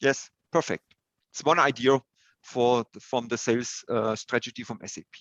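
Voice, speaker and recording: A man with a German accent talks at a moderate pace in a medium pitch, his intonation fairly even but his loudness swinging widely. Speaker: software consultant presenter. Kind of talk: webinar Q&A. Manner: halting.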